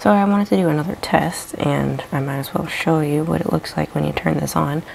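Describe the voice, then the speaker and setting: Soft-spoken, a woman talks at a fairly quick pace. Noticeable background noise runs behind her. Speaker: wood burning and mixed media artist. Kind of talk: casual vlog chat. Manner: soft-spoken, quiet.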